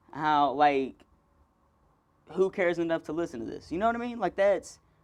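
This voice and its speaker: A man speaks at a moderate pace with an animated tone, lively intonation and a high pitch, on a very clean recording with a silent background. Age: 20s. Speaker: podcaster and comedian. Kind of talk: casual solo podcast monologue.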